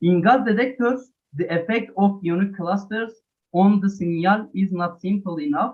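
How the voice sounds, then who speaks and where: In a Turkish accent, a man speaks at a high pitch and a moderate pace with ordinary pitch variation. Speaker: conference presenter. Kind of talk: scientific presentation.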